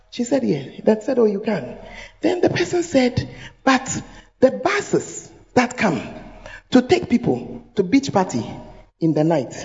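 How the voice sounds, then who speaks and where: In a Ghanaian accent, a woman speaks fairly slowly at a fairly high pitch, with very wide pitch swings and long, frequent pauses. Background noise is noticeable. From Ghana, Accra. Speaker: pastor. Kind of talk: sermon. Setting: church. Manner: animated.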